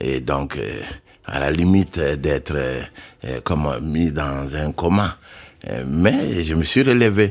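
Lively intonation at a very slow pace, with long, frequent pauses over noticeable background noise. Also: man, very deep, low pitch for a man. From Mali. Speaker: jazz pianist. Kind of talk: radio interview.

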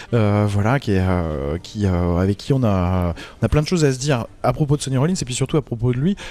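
Very wide pitch swings mark this man's dark, mellow tone. He speaks at a very fast pace. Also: medium pitch for a man. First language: French. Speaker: jazz radio host and interviewer. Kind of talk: live radio interview with interpreting. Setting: live broadcast at a jazz festival. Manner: halting, many hesitations.

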